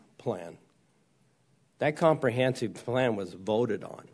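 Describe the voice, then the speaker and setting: A medium-pitched man speaks at a moderate pace with an American accent. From Arizona (East Mesa). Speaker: county supervisor. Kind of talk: public meeting deliberation. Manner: halting.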